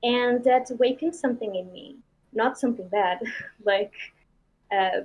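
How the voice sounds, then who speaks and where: A woman at a high pitch, with ordinary pitch variation and big swings in loudness. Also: moderate pace. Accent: Portuguese. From Portugal. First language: Portuguese. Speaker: indie game developer. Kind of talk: interview. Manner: halting.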